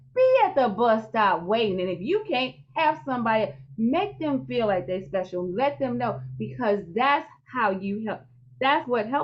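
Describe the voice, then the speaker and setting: A woman's somewhat breathy, fairly high voice, with an animated tone, very wide pitch swings and a moderate pace. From US Midwest, St. Louis, Missouri. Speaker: podcast host. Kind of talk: interview.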